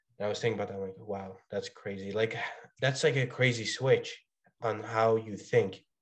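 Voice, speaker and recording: A normal speaking voice from a man, medium in pitch, at a moderate pace against a quiet background. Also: fairly even intonation. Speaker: college student. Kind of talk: casual chat. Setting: video call.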